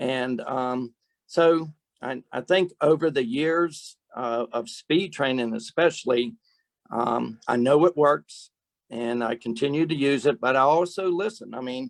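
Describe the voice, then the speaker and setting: A man with an ordinary speaking voice talks at a fairly slow pace and medium pitch with ordinary pitch variation, the sound dry and close with no echo. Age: 60s. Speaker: softball strength and speed trainer. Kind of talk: webcast panel discussion. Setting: webcast.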